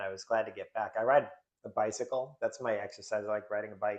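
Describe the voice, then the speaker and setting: Here a man with an American accent talks at a medium pitch. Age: 50s. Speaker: author and drummer, recovery guest. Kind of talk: interview conversation. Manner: hesitant, many fillers.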